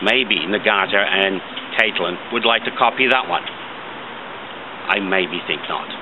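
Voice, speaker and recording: At a very slow pace, a man with a fairly low pitch and ordinary pitch variation speaks over noticeable background noise. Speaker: commentator. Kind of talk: commentary. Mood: aggrieved, critical. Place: garden. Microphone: phone near.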